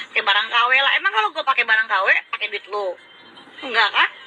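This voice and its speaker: A woman's raised, projected voice at a fairly quick pace, over noticeable background noise. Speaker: live streamer. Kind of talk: casual live stream rant. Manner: sounds aggressive, like revving up.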